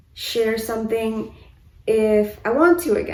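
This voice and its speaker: Audible room echo surrounds a woman. Her pitch is fairly high. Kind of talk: casual vlog update. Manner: stutters, hesitant.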